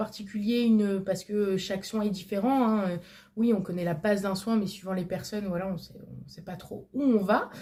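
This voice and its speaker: A woman's dark, mellow voice at medium pitch, with fairly even intonation and a moderate pace, on a very clean recording with a silent background. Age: 20s. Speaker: vlogger. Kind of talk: casual chat. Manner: hesitant, many fillers.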